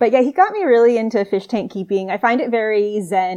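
Against a quiet background, a woman with an American accent talks very fast at a fairly high pitch with ordinary pitch variation. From US Southwest. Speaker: marine biologist. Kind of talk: casual chat.

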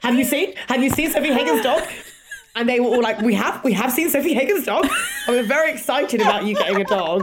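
Over noticeable background noise, a woman with a London accent talks very fast at a high pitch, her intonation lively and her loudness very even. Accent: British, London. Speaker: podcast host. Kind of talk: casual chat.

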